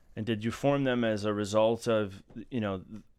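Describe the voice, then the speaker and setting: This is a man with a medium pitch talking at a moderate pace. The recording is very clean and the background silent. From Massachusetts. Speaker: podcast co-host. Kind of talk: casual group discussion.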